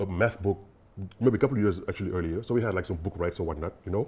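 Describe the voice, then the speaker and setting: A man speaks in a fairly low pitch with a dark, mellow tone and a somewhat breathy quality. His pitch variation is ordinary, and the recording is very clean with a silent background. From Senegal, Dakar. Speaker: bitcoin developer. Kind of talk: interview. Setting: podcast. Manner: hesitant, many fillers.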